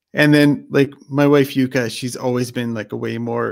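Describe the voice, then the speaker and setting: In an ordinary speaking voice, the words come at a fairly quick pace with fairly even intonation. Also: man. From Canada. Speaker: motorcycle YouTuber. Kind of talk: casual chat. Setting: live stream video call.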